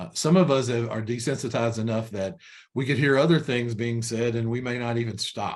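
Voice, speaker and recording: At a fairly quick pace, a man with a Kentucky accent talks at a medium pitch with ordinary pitch variation. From Kentucky (Frankfort). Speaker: corporate trainer. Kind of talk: webinar training presentation. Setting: online webinar. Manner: conversational with many fillers and repetitions.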